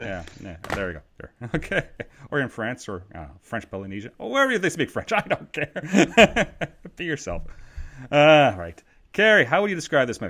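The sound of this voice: A man with a fairly bright tone talks at a moderate pace, his pitch swinging very widely. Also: medium pitch for a man.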